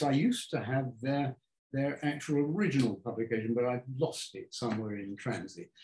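A man's somewhat breathy, dark and mellow voice at a moderate pace, with audible room echo and light background noise. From England, Devonport (Plymouth); England. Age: 80s+. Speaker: architect. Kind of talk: public talk conversation. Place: home room. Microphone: camera far.

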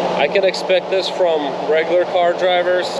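A man speaks over loud background noise. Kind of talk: casual vlog chat. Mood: frustrated, annoyed. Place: street. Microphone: phone near.

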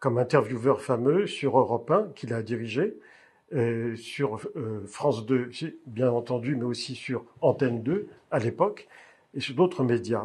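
A man with a medium pitch and an ordinary speaking voice. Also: ordinary pitch variation. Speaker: interviewer. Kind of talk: interview questions.

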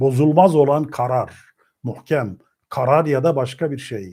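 Recorded very cleanly over a silent background, a man speaks at a very slow pace with ordinary pitch variation. His voice is fairly high in pitch, with a dark, mellow tone. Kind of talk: lecture.

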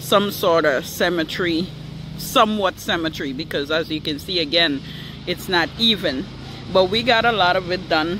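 A man talks at a moderate pace with a high pitch and ordinary pitch variation. The sound is dry with no echo, though noticeable background noise comes through. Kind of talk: casual vlog chat. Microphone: phone near.

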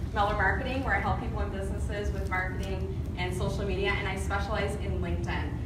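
A woman talks at a very fast pace over loud background noise, with audible room echo. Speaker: presenter, marketing trainer. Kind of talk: presentation to audience. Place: meeting room. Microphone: camera far.

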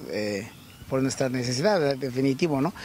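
A man with a fairly high voice is recorded with a dry sound and no echo over light background noise. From Tlaxcala, Mexico. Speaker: fair blanket seller. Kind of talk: interview; interview answer. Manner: halting. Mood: proud, cheerful. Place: market. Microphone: handheld.

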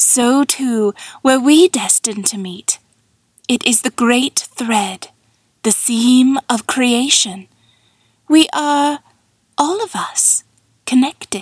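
A woman uses a put-on character voice, fairly high in pitch, with a slightly husky edge. She speaks at a very slow pace with long, frequent pauses. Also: ordinary pitch variation, dry, close sound with no echo.

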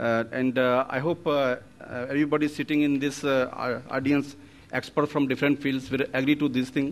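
The man's intonation is monotone and flat, and he keeps a moderate pace. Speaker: conference speaker. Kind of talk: conference speech. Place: hall. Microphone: podium.

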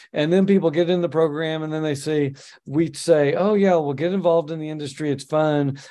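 A man talks with fairly even intonation. His pitch is fairly high. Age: 50s. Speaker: podcast host and accountant. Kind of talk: casual interview. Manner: hesitant, many filler words. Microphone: video call.

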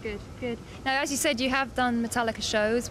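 A woman talks at a moderate pace. Her pitch sits fairly high.

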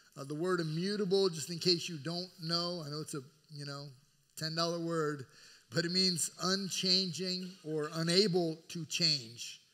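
A man's bright, sharp voice at a fairly slow pace, with fairly even intonation, over a quiet background. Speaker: pastor preaching. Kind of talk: sermon. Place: church.

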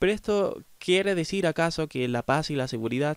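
Recorded very cleanly against a silent background, with a dry, close sound and no echo, a man speaks at a moderate pace with ordinary pitch variation. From Chile. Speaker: philosophy podcaster. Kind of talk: solo lecture-style commentary. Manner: hesitant, many fillers.

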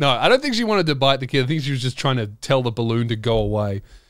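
A man at a fairly quick pace, against a quiet background. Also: dry sound with no echo. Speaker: podcast host. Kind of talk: casual podcast storytelling. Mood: humorous, self-deprecating. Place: studio. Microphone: studio mic.

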